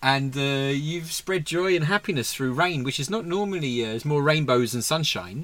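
A man talks in an ordinary speaking voice at a fairly high pitch. His moderate pace carries lively intonation. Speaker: podcast host. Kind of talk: casual chat.

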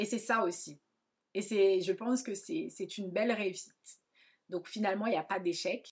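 The woman's medium pitch shows ordinary variation as she talks. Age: 30s. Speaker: hairdresser and podcast host. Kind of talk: personal monologue. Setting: at home.

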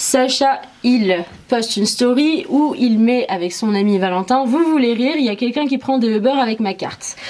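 There is noticeable background noise as a woman speaks at a moderate pace. Her voice is high-pitched, with lively intonation. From Morocco, moved to France at 8. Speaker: interview guest. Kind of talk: personal testimony.

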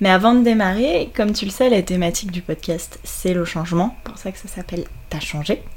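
A woman with a plain, everyday voice talks at a fairly quick pace and medium pitch, with ordinary pitch variation and big swings in loudness. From Brittany, France. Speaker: podcast host, yoga teacher. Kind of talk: scripted narration; casual chat.

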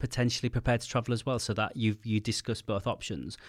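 This man has a British accent. The recording is very clean, with a silent background. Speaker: podcast host. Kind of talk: interview. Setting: studio. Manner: fast.

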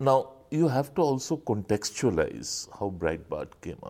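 At a fairly slow pace, a man speaks in a medium pitch with very wide pitch swings, vocal fry and a dark, mellow tone. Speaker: journalist. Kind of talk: casual chat.

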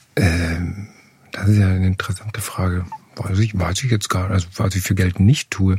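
With noticeable background noise behind him, a man speaks at a moderate pace in a very deep, low voice with fairly even intonation. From Upper Austria. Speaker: playwright and theatre director. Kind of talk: interview conversation. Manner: halting, many fillers.

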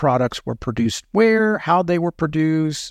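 A man speaks in a normal speaking voice, fairly high in pitch with lively intonation. The background is quiet. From New York. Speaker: former food safety regulator. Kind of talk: interview.

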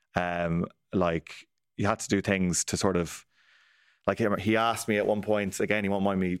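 A man with a very deep, low pitch and an Irish accent, dry and close with no echo, in a very clean recording against a silent background. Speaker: news correspondent and podcast host. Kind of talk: casual news discussion.

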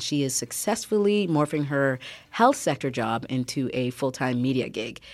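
The woman's pitch varies in an ordinary way. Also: very clean recording, silent background. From Canada, Newmarket (born in Ghana). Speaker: podcast host. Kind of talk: scripted intro; interview.

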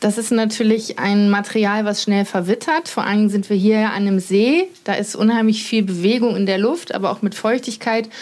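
A woman with a normal speaking voice and a fairly high pitch talks at a moderate pace, with ordinary pitch variation and hardly any pauses. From North Rhine-Westphalia, Germany. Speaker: journalist and author. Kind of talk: casual chat during a house tour. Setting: at home by a lake.

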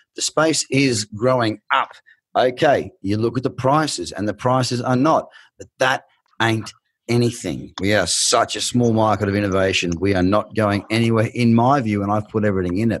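Against a quiet background, a man with an Australian accent speaks in an animated tone with ordinary pitch variation. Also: medium pitch for a man, moderate pace. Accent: thick Australian. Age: 20s. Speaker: podcast host and trader. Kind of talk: interview.

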